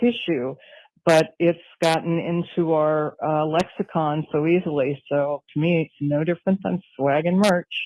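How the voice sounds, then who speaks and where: A woman's fairly low voice with ordinary pitch variation, a plain, everyday voice, recorded dry and close with no echo. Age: 60s. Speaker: caller. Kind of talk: voicemail message.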